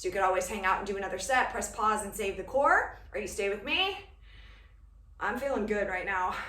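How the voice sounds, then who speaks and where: A woman speaks at a moderate pace with an energetic tone and a medium pitch, pausing often and at length. Audible room echo and noticeable background noise are present. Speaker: fitness instructor. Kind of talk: workout instruction. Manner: energetic, encouraging.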